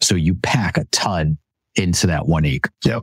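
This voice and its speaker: A man's very deep, low voice with vocal fry and an American accent, dry and close with no echo. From upstate New York. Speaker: small-scale vegetable farmer. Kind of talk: interview.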